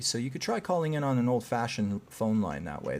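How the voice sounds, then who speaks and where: A man talks at a very fast pace with a slight Canadian accent. His pitch is medium. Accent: barely noticeable Canadian. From Canada. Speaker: psychic medium and live show host. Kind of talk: live call-in show.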